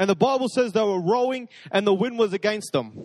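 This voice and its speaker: Heard in a dry, close sound with no echo, a high-pitched man with an Australian accent speaks at a moderate pace with ordinary pitch variation. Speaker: pastor. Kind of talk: sermon. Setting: church.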